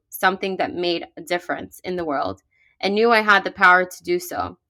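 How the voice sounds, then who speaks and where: A woman talks fairly quickly with a New York accent and a bright, sharp tone. The recording is very clean, with a silent background. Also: big swings in loudness. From New York, Brooklyn. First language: Russian. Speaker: podcast co-host, business owner. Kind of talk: scripted podcast introduction.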